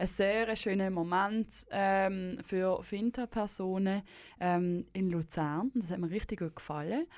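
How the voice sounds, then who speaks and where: A woman speaks at a medium pitch with ordinary pitch variation. Her pace is fairly slow, in a normal speaking voice. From Basel, Switzerland. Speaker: radio host. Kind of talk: radio interview.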